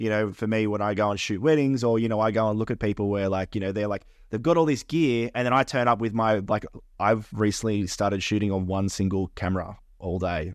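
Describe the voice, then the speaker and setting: A man with an Australian accent talks at a very fast pace in a fairly low pitch, with a quiet background. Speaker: podcast co-host and wedding photographer. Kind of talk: casual chat.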